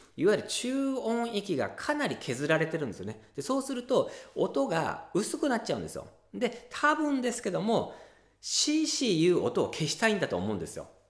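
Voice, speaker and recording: A man at a moderate pace, with audible room echo and a quiet background. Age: 40s. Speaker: ocarina teacher and channel host; ocarina teacher, channel host. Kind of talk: casual tutorial talk to camera. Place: home room.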